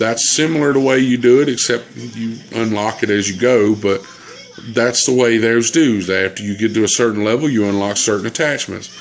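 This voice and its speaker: Against noticeable background noise, a man talks at a fairly quick pace in a medium-pitched voice with ordinary pitch variation. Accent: Southern US. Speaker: gamer. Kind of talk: casual chat.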